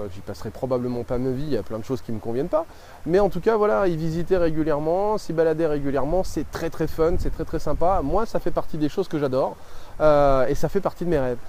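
Through noticeable background noise, a man talks at a fairly quick pace with a fairly high pitch and lively intonation. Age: 30s. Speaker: life coach and video creator. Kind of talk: vlog monologue to camera. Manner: hesitant, many fillers.

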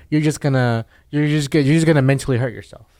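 A man's voice, fairly high in pitch. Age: 20s. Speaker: field technician. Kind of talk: casual chat. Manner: halting, many repeated words.

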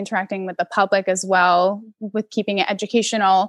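With an American accent, a woman with a plain, everyday voice speaks at medium pitch and a moderate pace, her intonation fairly even, on a very clean recording with a silent background and a dry, close sound with no echo. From US Northeast, Connecticut. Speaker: zookeeper, bird trainer. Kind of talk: casual interview.

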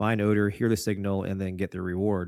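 A man with a plain, everyday voice and a fairly low pitch talks with fairly even intonation on a very clean recording with a silent background. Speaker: podcast host and dog trainer. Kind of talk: casual interview.

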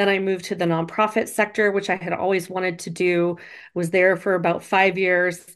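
A woman with an unremarkable speaking voice talks at a moderate pace and medium pitch over a quiet background. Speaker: attorney and speaking coach. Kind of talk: casual interview conversation. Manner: conversational, laughs often.

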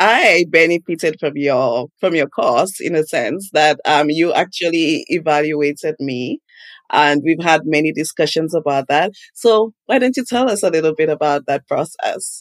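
A woman's very deep, low voice with lively intonation at a moderate pace. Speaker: podcast host. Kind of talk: casual interview.

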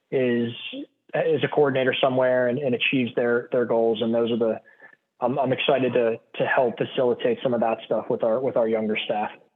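He speaks with a Pittsburgh accent at a medium pitch. The man's pace is fairly quick. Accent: Western Pennsylvania (Pittsburgh). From Pittsburgh, Pennsylvania. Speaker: baseball athletic trainer, medical coordinator. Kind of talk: podcast interview.

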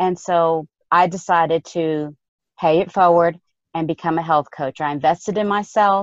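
A woman with a fairly low pitch speaks in a plain, everyday voice at a moderate pace, her intonation fairly even. The sound is dry and close with no echo, and the background is quiet. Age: 50s. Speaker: health coach. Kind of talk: casual interview.

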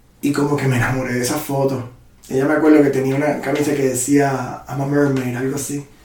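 Speech comes at a very fast pace in a monotone, flat intonation. Audible room echo and noticeable background noise accompany it. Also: man, fairly high pitch for a man. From Puerto Rico. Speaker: muralist and photographer. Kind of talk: interview.

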